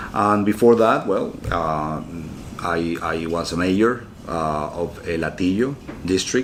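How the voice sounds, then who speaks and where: Amid audible room echo, a man speaks very slowly in a very deep, low pitch with ordinary pitch variation. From Venezuela, Caracas. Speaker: former mayor, diplomat and graduate student. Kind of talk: interview. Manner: hesitant, with many filler words.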